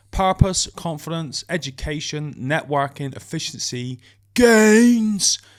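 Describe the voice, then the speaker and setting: In a very clean recording with a silent background, a man with a British accent speaks at a very slow pace, his high-pitched voice carrying lively intonation. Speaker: podcast co-host. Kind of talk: casual chat. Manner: slight slur on S sounds.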